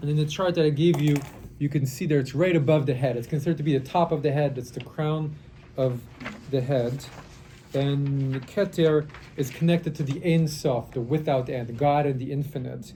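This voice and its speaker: A man talks at a moderate pace in a fairly high pitch with fairly even intonation, his voice carrying audible room echo over noticeable background noise. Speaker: rabbi teaching a Kabbalah class. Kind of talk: lecture. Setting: classroom workshop, recorded for online. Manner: halting.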